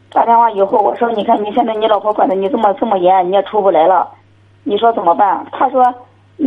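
Against noticeable background noise, a woman with fairly high pitch speaks at a fairly quick pace with ordinary pitch variation. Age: 40s. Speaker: caller. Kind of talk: phone-in call. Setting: phone call.

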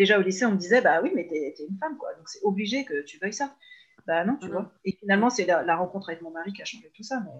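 A woman at medium pitch, very fast pace, lively intonation and big swings in loudness. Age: 30s. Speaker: mother who works with parents. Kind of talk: casual interview. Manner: hesitant, many fillers.

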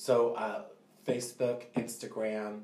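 A man with an American accent speaks at a medium pitch with fairly even intonation, and audible room echo is present. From Northern California. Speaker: salon owner. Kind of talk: casual chat.

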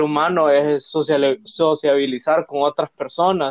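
A man speaks at a fairly slow pace in an unremarkable speaking voice. His pitch is fairly high. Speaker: podcast co-host, university student. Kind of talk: casual chat.

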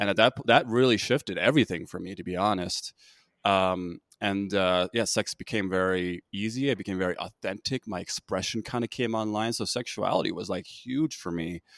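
In an American accent, a normal speaking voice moves at a fairly quick pace with ordinary pitch variation, recorded very cleanly over a silent background with a dry, close sound and no echo. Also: man, fairly low pitch for a man. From United States, Korean American. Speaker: podcast host. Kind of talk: podcast interview.

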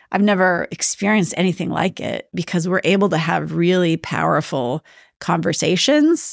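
Speaking with an American accent and vocal fry, a woman talks at a moderate pace and fairly low pitch with ordinary pitch variation, in a dry, close sound with no echo and a very clean recording against a silent background. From northern Minnesota, rural. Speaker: real estate business owner. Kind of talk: interview. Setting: podcast recording. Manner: animated.

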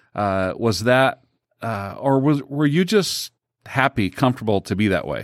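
At a fairly slow pace and with lively intonation, a man talks in an ordinary speaking voice, the recording very clean with a silent background and a dry, close sound with no echo. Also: medium pitch for a man. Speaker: podcast co-host. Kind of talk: casual chat, interview.

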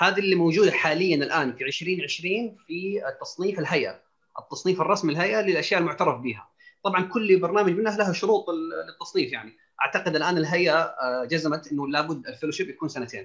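A man's high-pitched voice at a fairly quick clip, with ordinary pitch variation. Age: 30s. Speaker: family physician and diabetologist. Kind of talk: panel discussion.

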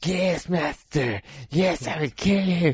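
Someone puts on a character voice at a middle pitch and a fairly slow pace. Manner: campy, theatrical.

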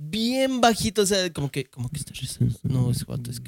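Fairly quick speech in a Mexican accent, with very wide swings in pitch. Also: man. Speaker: podcast co-host. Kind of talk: casual chat. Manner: animated.

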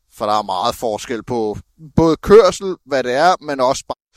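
A man's medium-pitched, a normal speaking voice at a fairly slow pace, dry and close with no echo, on a very clean recording with a silent background. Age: 30s. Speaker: truck driver apprentice. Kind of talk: interview. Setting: outdoors.

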